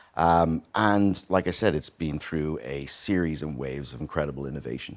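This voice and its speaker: Speech moves at a moderate speed. The pitch rises and falls in an ordinary way. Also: man, very deep, low pitch for a man. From Ireland, Dublin. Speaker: tech company CEO. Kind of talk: interview. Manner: many fillers (uh, um).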